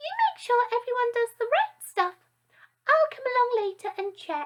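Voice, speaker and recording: In a put-on character voice, a woman squeaks at an extremely high pitch, her loudness swinging widely. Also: moderate pace, lively intonation. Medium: read story. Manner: vague, drowsy.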